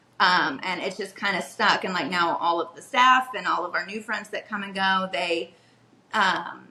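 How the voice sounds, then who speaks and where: Noticeable background noise runs behind a woman's medium-pitched voice. She keeps a moderate pace, and her pitch varies in an ordinary way. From Kentucky, Louisville. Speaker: restaurant manager. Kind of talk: casual interview chat. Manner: hesitant, many fillers.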